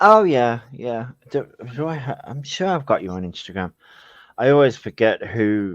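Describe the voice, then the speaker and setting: A man with a Birmingham accent speaks at a medium pitch and a moderate pace, over a quiet background. His pitch swings very widely and his loudness shifts a lot. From Birmingham, England. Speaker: live stream chat participant. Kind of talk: casual chat.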